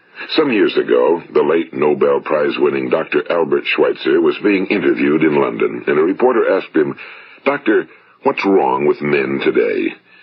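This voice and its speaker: A man talks at a moderate pace with an American accent. His loudness stays very even, and noticeable background noise is present. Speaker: motivational speaker. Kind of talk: motivational spoken-word talk. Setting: vintage broadcast recording.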